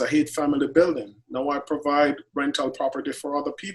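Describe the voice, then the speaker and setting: Speaking very fast with fairly even intonation, a man has a Jamaican accent. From Jamaica, Clarendon. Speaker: chef. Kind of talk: interview.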